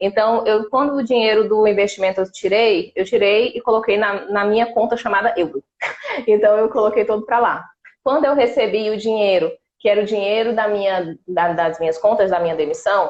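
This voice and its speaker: A woman with an unremarkable speaking voice talks at a moderate pace and fairly high pitch, with ordinary pitch variation and very even loudness. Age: 30s. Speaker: exchange student-to-be. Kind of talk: live stream interview.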